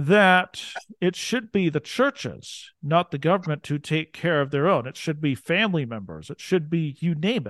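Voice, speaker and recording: At a moderate pace, a man with an American accent and a fairly high pitch uses a normal speaking voice with lively intonation, in a dry, close sound with no echo and a quiet background. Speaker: podcast host. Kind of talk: interview; scripted narration.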